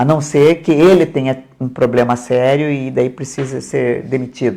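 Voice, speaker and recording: Her pitch very deep and low and her tone dark and mellow, a woman speaks at a fairly slow pace with vocal fry and fairly even intonation. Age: 70s. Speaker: mayor and election candidate. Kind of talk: interview. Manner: hesitant, with repetitions.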